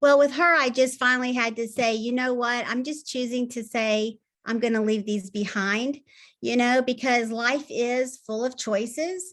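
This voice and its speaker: A woman with a Southern US accent, high pitch, fairly even intonation and a moderate pace, against a quiet background. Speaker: health coach. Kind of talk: tips talk on video call.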